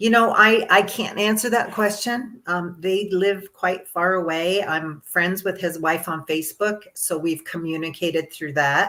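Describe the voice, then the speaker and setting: A woman speaks in an ordinary speaking voice at a medium pitch, with ordinary pitch variation. Her pace is fairly slow and she hardly pauses. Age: 60s. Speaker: longevity coach. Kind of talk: interview. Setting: live podcast.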